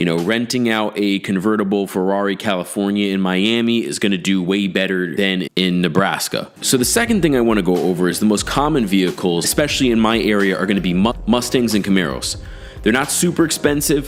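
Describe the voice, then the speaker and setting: A man's fairly low voice at a fairly quick pace, lively intonation, hardly any pauses, and noticeable background noise. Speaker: car rental host and business YouTuber. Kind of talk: casual tutorial.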